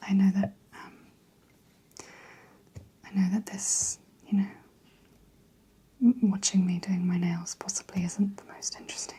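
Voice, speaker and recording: Soft-spoken delivery full of long, frequent pauses, over noticeable background noise. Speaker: ASMR creator. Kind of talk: ASMR soft-spoken chit chat.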